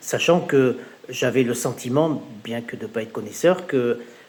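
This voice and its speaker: The speaker is a man with a medium-pitched voice. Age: 60s. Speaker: customer testimonial, regional training director. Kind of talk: testimony. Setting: home, in front of fridge. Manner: hesitant with many fillers.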